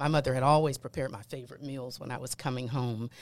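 The recording is very clean, and the background is silent. A woman talks. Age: 50s. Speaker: pastor and management consultant. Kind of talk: interview.

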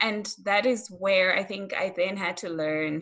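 At a medium pitch, a woman talks with ordinary pitch variation. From Malawi. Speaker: critical care nurse. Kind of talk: casual interview.

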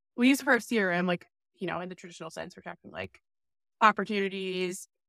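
A woman's voice has a bright, sharp tone with vocal fry. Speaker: podcast host. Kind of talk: casual chat.

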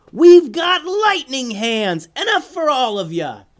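Shouting in a put-on character voice at an extremely high pitch, a man swings his pitch very widely at a slow pace.

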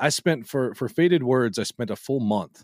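A man's plain, everyday voice at medium pitch, in a dry, close sound with no echo, on a very clean recording with a silent background. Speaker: podcaster. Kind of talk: casual chat.

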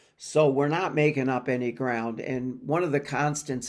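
A man speaks in a normal speaking voice at a fairly slow pace, with medium pitch and fairly even intonation. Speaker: guest sports reporter. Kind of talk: casual sports commentary segment.

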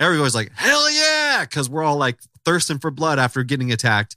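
An animated, bright and sharp voice at a fairly quick pace, dry and close with no echo, on a very clean recording with a silent background. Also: man. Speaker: comedy podcast host. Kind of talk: comedic casual chat.

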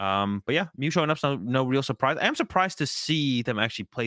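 A man races along at a very fast pace with very wide pitch swings in a dry, close sound with no echo. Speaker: podcast co-host and competitive card player. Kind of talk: casual chat. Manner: low energy.

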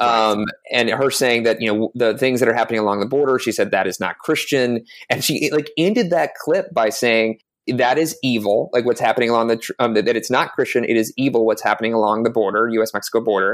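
A man with a plain, everyday voice and an American accent talks at a fairly quick pace, medium in pitch with ordinary pitch variation and very even loudness. The recording is very clean with a silent background. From US South, South Carolina. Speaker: religion reporter. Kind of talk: interview.

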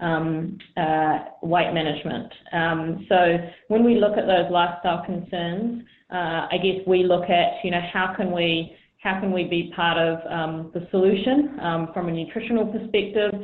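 With an unremarkable speaking voice, a woman talks at a fairly slow pace and a fairly low pitch, using ordinary pitch variation. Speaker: sports nutrition director. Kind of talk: interview. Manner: conversational, many fillers.

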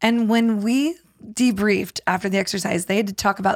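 Heard in a very clean recording with a silent background and a dry, close sound with no echo, a woman talks at a medium pitch and moderate pace in an ordinary speaking voice. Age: 50s. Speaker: communication skills trainer. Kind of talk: casual chat.

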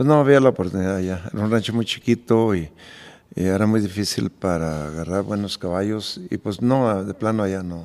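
A man at a fairly quick pace in a plain, everyday voice, fairly low in pitch, with ordinary pitch variation. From Michoacán, Mexico. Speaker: charro team owner and restaurateur. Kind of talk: casual chat. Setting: at his home.

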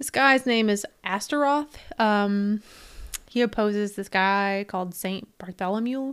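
A woman speaks in a fairly high voice with ordinary pitch variation. The recording is very clean, with a silent background. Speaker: paranormal podcast co-host. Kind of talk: casual chat. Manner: laughs often.

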